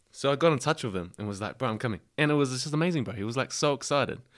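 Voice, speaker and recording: In a New Zealand accent, a man speaks on a very clean recording with a silent background. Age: 20s. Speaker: rugby player. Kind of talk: casual chat. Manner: animated.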